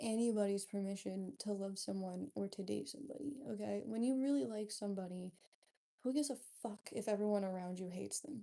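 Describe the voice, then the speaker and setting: Quiet and dark, mellow in tone, a woman's voice moves at a fairly quick pace with a medium pitch and ordinary pitch variation. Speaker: livestreamer. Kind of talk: casual chat.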